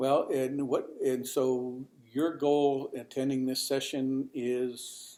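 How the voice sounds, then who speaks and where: A man talks at a very slow pace in a medium pitch. His intonation is monotone and flat, his tone dark and mellow. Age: 70s. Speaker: publisher and journalist, conference speaker. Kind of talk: casual chat. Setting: writers conference session. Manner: halting.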